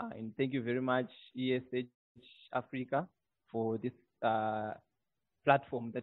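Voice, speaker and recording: A man talks in a monotone, flat intonation, with a dry sound and no echo. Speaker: webinar guest. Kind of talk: presentation opening. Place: office. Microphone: earbuds.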